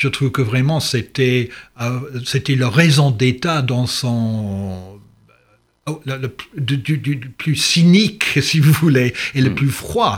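Very slow and somewhat breathy, a man's medium-pitched voice carries lively intonation. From England. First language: English (speaking French). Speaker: history professor. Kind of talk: interview. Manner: halting.

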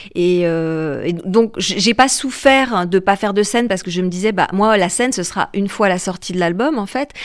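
This is a woman's voice at a medium pitch. Her pitch rises and falls by an ordinary amount. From France. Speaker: singer-songwriter and actress. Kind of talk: radio interview. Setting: radio studio. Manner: hesitant, many repetitions.

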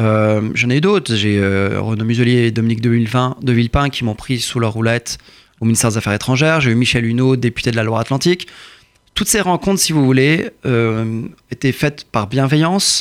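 A man talks at a very fast pace. His medium pitch shows ordinary pitch variation. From France, Courbevoie. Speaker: politician and lawyer. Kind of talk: interview.

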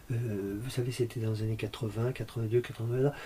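Somewhat breathy speech at a very slow pace, with ordinary pitch variation. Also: man. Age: 60s. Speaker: concert pianist and music teacher. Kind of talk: interview. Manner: halting, many repetitions and hesitations.

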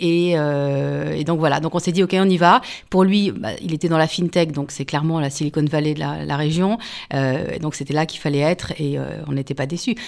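At a moderate pace, a woman talks in a very deep, low pitch that varies in an ordinary way. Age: 40s. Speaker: journalist and author. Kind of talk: radio interview.

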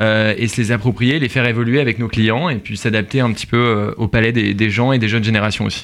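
Hardly pausing at all, a man rattles along at a very fast pace. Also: medium pitch for a man, fairly even intonation. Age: 20s. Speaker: tea company co-founder. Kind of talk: radio interview.

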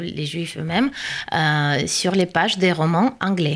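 A woman with a Russian accent speaks at a fairly slow pace in a fairly low pitch with lively intonation. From Russia, Saint Petersburg. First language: Russian (speaking French). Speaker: translator and researcher. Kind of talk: radio interview.

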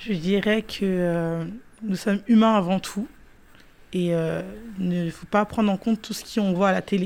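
A woman talks at a moderate pace in a medium pitch, keeping her intonation fairly even. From Paris suburbs, France. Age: 20s. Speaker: youth project participant. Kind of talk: radio interview.

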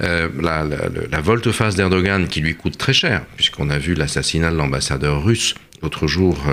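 Very deep and low, a man's voice comes at a fairly slow pace. There is noticeable background noise. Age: 60s. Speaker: political scientist and author. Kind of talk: radio discussion.

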